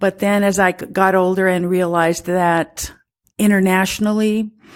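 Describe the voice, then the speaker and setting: Speaking at a fairly slow pace in a monotone, flat intonation, a woman is heard on a very clean recording with a silent background. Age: 70s. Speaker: activist and women's advocate. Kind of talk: interview. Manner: halting.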